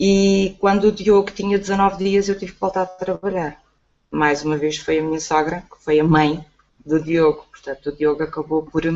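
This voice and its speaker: A woman with an unremarkable speaking voice talks at a moderate pace, fairly low in pitch with ordinary pitch variation and big swings in loudness. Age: 40s. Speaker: online entrepreneur. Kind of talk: testimony.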